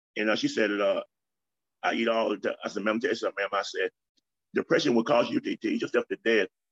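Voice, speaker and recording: This man talks at a very fast pace. The sound is dry and close, with no echo. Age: 50s. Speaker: retired ordained minister and street preacher. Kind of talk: interview, personal testimony. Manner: halting with frequent fillers and repetitions.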